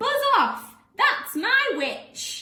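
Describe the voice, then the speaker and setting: Putting on a character voice, a woman growls and croaks at an extremely high, shrill pitch. She raises and projects her voice, with a slight echo around it. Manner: fierce, gruff.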